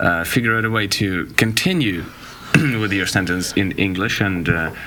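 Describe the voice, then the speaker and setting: With a Russian accent, a man speaks at a moderate pace in a fairly low voice with ordinary pitch variation, amid audible room echo and noticeable background noise. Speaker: podcast guest. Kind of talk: casual chat. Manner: halting.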